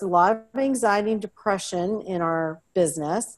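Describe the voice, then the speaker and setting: A woman with an American accent has a normal speaking voice. Her pitch varies an ordinary amount, and she talks at a fairly slow pace. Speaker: lifestyle blogger and real estate agent. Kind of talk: casual interview.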